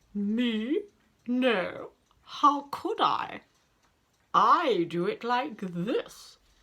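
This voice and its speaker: A woman uses a put-on character voice with a high pitch and very wide pitch swings. She speaks at a very slow pace with long, frequent pauses. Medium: read story. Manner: matter-of-fact.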